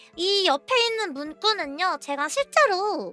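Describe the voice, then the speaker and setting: Music plays behind a woman with an extremely high pitch and a raised, projected voice. She speaks at a very slow pace, with very wide pitch swings. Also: dry, close sound with no echo. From Korea. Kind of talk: casual explainer talk to viewers.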